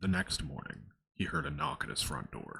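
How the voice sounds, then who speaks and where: This man's voice has a bright, sharp tone with vocal fry. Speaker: story narrator. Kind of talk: ASMR creepypasta reading. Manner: soft-spoken.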